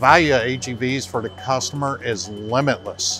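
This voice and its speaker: A man's voice with a dry sound and no echo, over faint music in the background. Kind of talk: interview answer. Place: factory.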